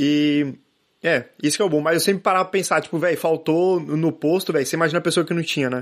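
Over a silent background on a very clean recording, a man talks at a very fast pace with fairly even intonation. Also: fairly high pitch for a man. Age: 20s. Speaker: volunteer with type 1 diabetes. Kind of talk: casual chat.

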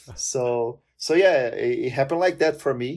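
A man with a fairly high pitch is heard in a very clean recording with a silent background. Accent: Portuguese. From Brazil. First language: Portuguese. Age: 20s. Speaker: language content creator and polyglot. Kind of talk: casual interview chat.

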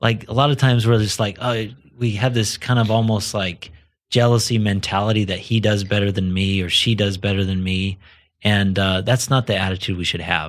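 A man with an American accent and an ordinary speaking voice, fairly low in pitch, talking at a fairly quick pace with fairly even intonation, on a very clean recording with a silent background. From US, southern Idaho. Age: 40s. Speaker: entrepreneur. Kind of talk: casual interview.

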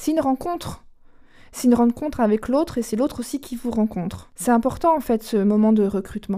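The voice has a dark, mellow tone, moves at a fairly quick pace and shows ordinary pitch variation. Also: woman, fairly high pitch for a woman. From Charente, western France. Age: 40s. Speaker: company executive. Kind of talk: interview. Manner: hesitant, with fillers.

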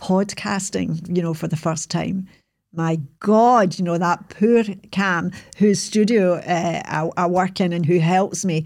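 A woman's dark, mellow voice at medium pitch, fairly slow and with fairly even intonation, in a very clean recording with a silent background. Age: 60s. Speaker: podcaster telling life story. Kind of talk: reflective monologue recap. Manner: reflective, conversational, self-deprecating.

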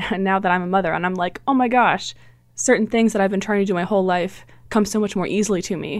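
This woman talks at a very fast pace, her medium-pitched voice keeping a fairly even intonation. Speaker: guest, Doctor Who newcomer. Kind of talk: casual podcast discussion.

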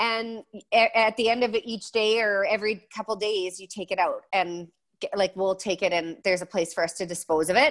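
A speaker with a western Canadian accent talks at a moderate pace with ordinary pitch variation, on a very clean recording with a silent background. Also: woman, medium pitch for a woman. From Alberta, Canada. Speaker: blogger and designer. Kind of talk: interview.

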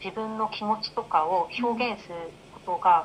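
A woman at a fairly high pitch and fairly slow pace, with an ordinary speaking voice. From Japan. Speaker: life coach. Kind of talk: interview.

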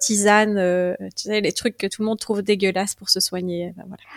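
A woman speaks in a medium pitch with monotone, flat intonation. The sound is dry and close, with no echo. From Belgium, Liège province. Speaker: Egyptologist and herbalist. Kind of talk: interview.

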